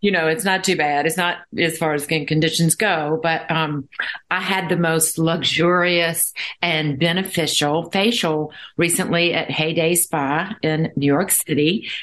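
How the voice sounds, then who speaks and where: A woman with a normal speaking voice, fairly low in pitch, talks at a fairly slow pace with fairly even intonation and very even loudness. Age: 60s. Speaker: podcast host. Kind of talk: interview.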